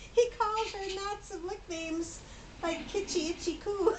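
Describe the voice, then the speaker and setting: Putting on a squeaky character voice, a woman speaks at a moderate pace at an extremely high pitch, with big swings in loudness and clear background noise. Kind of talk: bedtime story read-aloud. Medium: read story. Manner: giggling, stumbling over swapped sounds.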